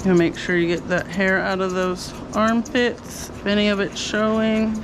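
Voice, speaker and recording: A woman with a medium pitch and fairly even intonation talks through noticeable background noise and audible room echo. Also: moderate pace. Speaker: dog groomer. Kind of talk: casual narration while grooming a dog. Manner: loud.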